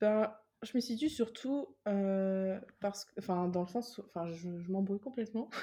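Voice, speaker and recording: The voice is somewhat breathy with a dark, mellow tone, ordinary pitch variation and a fairly slow pace. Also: woman, medium pitch for a woman. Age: 20s. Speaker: self-published novelist and illustrator. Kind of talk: interview.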